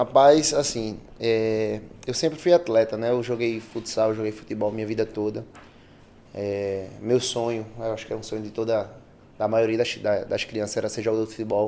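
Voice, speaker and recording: A man's dark, mellow voice at medium pitch, with fairly even intonation and a moderate pace. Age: 20s. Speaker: personal trainer. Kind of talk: casual podcast interview.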